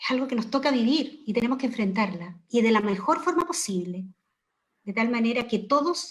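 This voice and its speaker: A woman with an ordinary speaking voice talks at a fairly quick pace, using a fairly high pitch and lively intonation. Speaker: education professor. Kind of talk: panel discussion.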